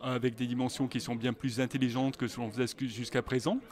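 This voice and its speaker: A man's voice at a medium pitch. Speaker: search engine director. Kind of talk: interview. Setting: conference. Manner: halting, many hesitations.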